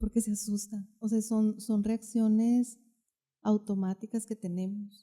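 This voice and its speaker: A woman's fairly high voice is dark, mellow and somewhat breathy, in a monotone, flat intonation. She talks at a fairly slow pace in a dry, close sound with no echo. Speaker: therapist. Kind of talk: podcast interview.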